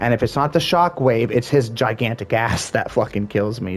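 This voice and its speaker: Music plays in the background as a man talks. His pace is moderate and his intonation lively. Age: 30s. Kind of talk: casual gaming commentary.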